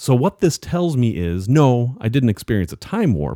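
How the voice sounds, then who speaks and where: With a dark, mellow tone, a man speaks at a fairly slow pace. His pitch swings very widely. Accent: American. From Salem, Massachusetts. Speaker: podcast co-host. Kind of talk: casual chat.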